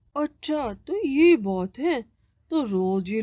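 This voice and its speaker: A cartoonish character voice, female-sounding and fairly high in pitch. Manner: sneering, self-serving.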